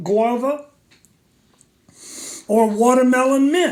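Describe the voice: Speaking slowly, a man uses an extremely high pitch with ordinary pitch variation. Room echo is audible around him.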